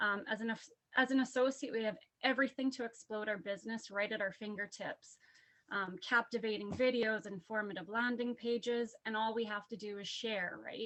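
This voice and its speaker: A woman's shaky voice at a fairly high pitch, with fairly even intonation and a moderate pace. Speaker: business associate sharing event takeaways. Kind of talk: prepared testimony. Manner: reading from notes.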